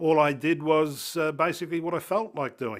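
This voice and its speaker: At a moderate pace, a man talks with an Australian accent on a very clean recording with a silent background. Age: 60s. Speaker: person sharing lived experience of illness. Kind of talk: personal testimony interview. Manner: hesitant, many fillers.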